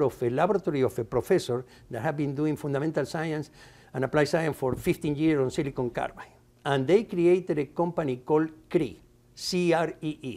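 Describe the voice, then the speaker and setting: Fairly quick in pace, a man speaks with a dark, mellow tone. His pitch is fairly high, with ordinary variation. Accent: Spanish. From Argentina. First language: Spanish. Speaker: materials science professor. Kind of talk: interview. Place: studio. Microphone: lapel.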